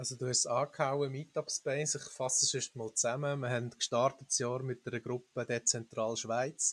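On a very clean recording with a silent background and a dry, close sound with no echo, a man with a Swiss accent speaks somewhat breathily at a medium pitch, in a monotone, flat intonation, at a fairly quick pace. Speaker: bitcoin meetup organizer. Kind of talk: casual panel discussion.

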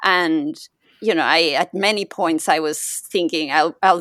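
The speaker goes at a very slow pace with a Spanish accent. The sound is dry and close, with no echo. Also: woman. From Mexico. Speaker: podcaster and yoga teacher. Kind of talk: casual chat. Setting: video call.

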